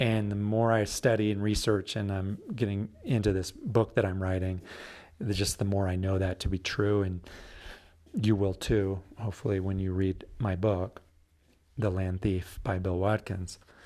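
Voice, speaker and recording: A man talks at a moderate pace in a fairly low pitch, with a dark, mellow tone and monotone, flat intonation. The recording is very clean, with a silent background. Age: 40s. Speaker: poet and podcast host. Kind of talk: solo podcast monologue with poetry readings. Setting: home recording. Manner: rambling, halting with fillers.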